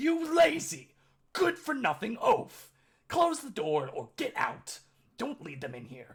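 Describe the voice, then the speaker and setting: A shrill, put-on character voice shouts. The pace is fairly slow. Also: man, extremely high pitch for a man. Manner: yelling, furious.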